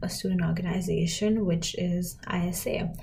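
A woman talks at a medium pitch. Audible room echo surrounds her voice. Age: 20s. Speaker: podcast host. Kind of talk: casual monologue.

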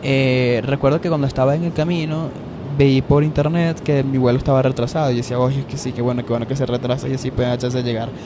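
Through noticeable background noise comes very fast speech in a Venezuelan accent with fairly even intonation. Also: man, medium pitch for a man. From Venezuela, Valencia. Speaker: podcaster. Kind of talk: casual monologue. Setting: on an airplane in flight.

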